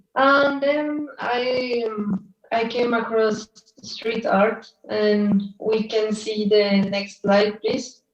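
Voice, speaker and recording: Fairly high in pitch, a woman with a Spanish accent speaks at a very slow pace with fairly even intonation. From Colombia, Bogota. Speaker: artist and illustrator. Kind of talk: presentation. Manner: halting.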